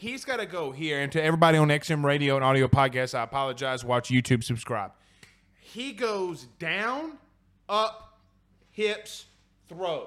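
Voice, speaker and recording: Loud and animated, a man speaks with a fairly high pitch and very wide pitch swings. His pace is moderate, broken by long, frequent pauses. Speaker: sports podcast host. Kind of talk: casual sports talk show.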